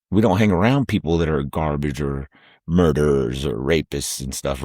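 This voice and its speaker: On a very clean recording with a silent background, a man with an American accent talks at a moderate pace with ordinary pitch variation. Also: dry, close sound with no echo. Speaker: YouTube host. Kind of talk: casual storytelling. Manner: loud.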